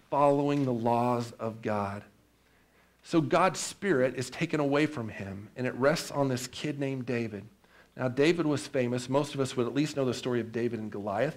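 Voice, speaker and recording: Ordinary pitch variation, moderate pace and medium pitch in a man with an ordinary speaking voice. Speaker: pastor. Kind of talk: sermon.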